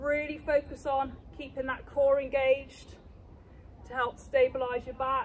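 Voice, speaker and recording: A woman with a British accent speaks fairly slowly in a high, flat monotone, her loudness swinging widely over light background noise. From England. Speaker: fitness instructor. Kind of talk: live-cued workout coaching, counting reps and talking learners through each move. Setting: exercise studio or gym. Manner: brisk rhythmic cueing. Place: open country.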